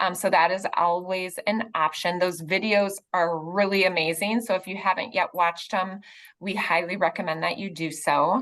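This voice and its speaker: Here a woman has a normal speaking voice of medium pitch. Her intonation is fairly even and her pace moderate. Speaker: foundation staff member. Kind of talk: presentation.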